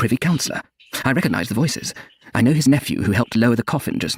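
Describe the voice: Ordinary pitch variation in plain reading aloud.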